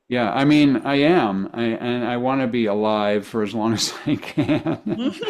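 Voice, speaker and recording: A man's medium-pitched voice at a fairly slow pace, with hardly any pauses, ordinary pitch variation and noticeable background noise. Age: 60s. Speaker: author and marketing speaker. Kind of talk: interview conversation. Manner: halting, many repetitions.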